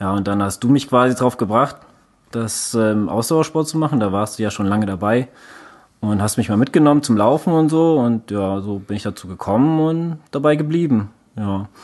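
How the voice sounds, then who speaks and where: Here a man speaks at a moderate pace with medium pitch. His intonation is lively, and he has an unremarkable speaking voice. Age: 30s. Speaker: endurance sports podcast co-host. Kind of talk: casual chat.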